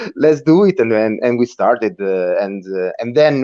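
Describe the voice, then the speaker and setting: A man's medium-pitched voice in an Italian accent, dark and mellow in tone, with lively intonation at a moderate pace. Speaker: rock band member. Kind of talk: interview. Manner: halting, many repeated words.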